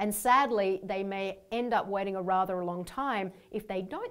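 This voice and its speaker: Speaking with an Australian accent, a woman uses a medium pitch with ordinary pitch variation at a moderate pace. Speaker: leadership coach. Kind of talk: workshop training video.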